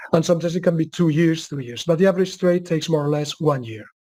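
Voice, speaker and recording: A man with a high pitch speaks in a Spanish accent. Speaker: market analyst. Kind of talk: webcast Q&A. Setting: webcast. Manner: halting.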